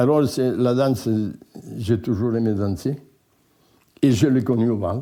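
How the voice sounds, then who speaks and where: A man with a dark, mellow tone speaks at a very slow pace and medium pitch. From France, Ariège (Vicdessos valley). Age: 80s+. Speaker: retired mountain farmer and former utility worker. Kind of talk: life-story interview. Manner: halting, with repetitions.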